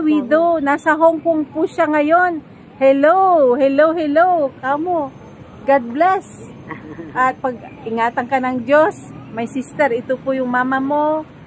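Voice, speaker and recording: A woman with a high-pitched voice speaks at a fairly slow pace, leaving long, frequent pauses. Her pitch varies in an ordinary way, and there is noticeable background noise. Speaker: interviewer. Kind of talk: casual interview questions.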